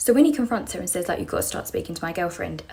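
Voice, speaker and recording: A woman with a British accent speaks with lively intonation over noticeable background noise. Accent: British, described as common. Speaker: storyteller on social media. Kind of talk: casual storytelling. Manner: fast.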